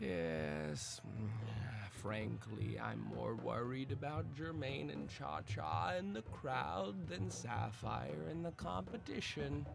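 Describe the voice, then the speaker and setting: Over loud background noise, a man uses a put-on character voice, very deep and low in pitch, at a very slow pace. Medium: actual play. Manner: measured, earnest.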